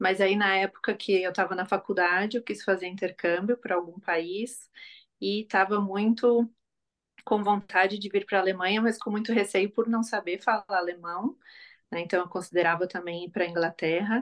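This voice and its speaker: In a plain, everyday voice, a woman talks at a moderate pace with medium pitch and fairly even intonation against a quiet background. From southern Brazil, Florianópolis. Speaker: psychologist. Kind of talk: casual interview chat.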